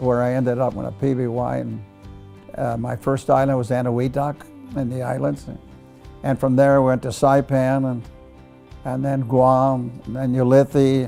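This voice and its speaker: A man at a medium pitch with fairly even intonation, with music in the background. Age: 80s+. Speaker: war veteran. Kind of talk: interview answer.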